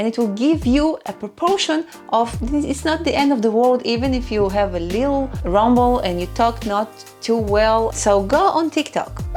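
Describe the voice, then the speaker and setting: A woman with a non-native accent speaks over music in the background. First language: not English. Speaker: YouTube content creator. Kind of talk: casual talk to camera.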